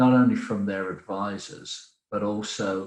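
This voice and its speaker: A man speaks with a Birmingham accent. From Birmingham, English Midlands. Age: 40s. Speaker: business development director. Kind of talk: podcast interview.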